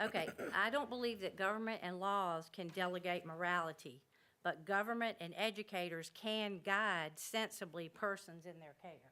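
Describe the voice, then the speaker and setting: Bright, sharp tone from a woman, pitch varying in an ordinary way. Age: 60s. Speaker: member of the public. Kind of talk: public comment. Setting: public meeting room. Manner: informal.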